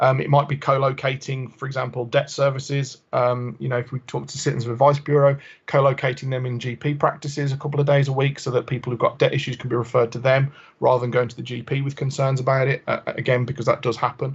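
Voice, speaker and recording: Somewhat breathy, the voice runs at a very fast pace in a monotone, flat intonation. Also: man, medium pitch for a man. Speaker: health engagement officer. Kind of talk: committee presentation.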